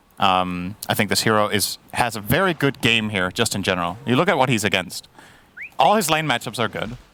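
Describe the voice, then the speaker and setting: A man speaks at a fairly quick pace and medium pitch with lively intonation. Noticeable background noise is present. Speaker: esports analyst. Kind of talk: live commentary.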